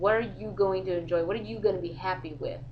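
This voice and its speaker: A woman speaks loudly with very wide pitch swings. Audible room echo surrounds her voice. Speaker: vlogger. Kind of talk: casual vlog monologue. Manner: animated.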